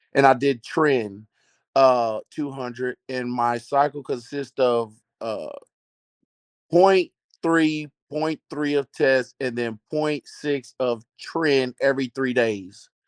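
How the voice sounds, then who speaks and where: A man with a Texas accent, very slow pace, dry close sound with no echo. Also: medium pitch for a man, ordinary pitch variation. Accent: noticeable Southern US accent, Texas. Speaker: caller asking about a steroid cycle. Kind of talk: casual question on a live video call. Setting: video call, lying in bed.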